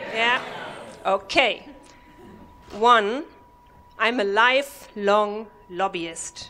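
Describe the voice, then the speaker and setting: With a German accent, a woman speaks at a fairly high pitch with ordinary pitch variation and long, frequent pauses. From Germany. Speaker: comedy workshop participant. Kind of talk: stand-up. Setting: stage with audience.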